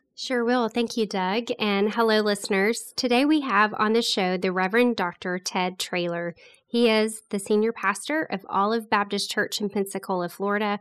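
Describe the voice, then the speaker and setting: Against a quiet background, a woman with a plain, everyday voice speaks at a moderate pace, fairly high in pitch, with fairly even intonation and hardly any pauses. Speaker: podcast co-host. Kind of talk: casual interview.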